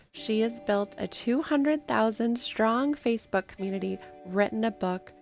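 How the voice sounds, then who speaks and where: Music plays in the background as a woman speaks. Her pitch is fairly high, with ordinary variation. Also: moderate pace. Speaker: podcast host. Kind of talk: podcast intro.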